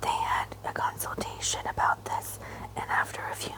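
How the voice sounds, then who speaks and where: The speech is whispered. It keeps a moderate pace against noticeable background noise. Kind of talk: whispered ASMR audiobook reading.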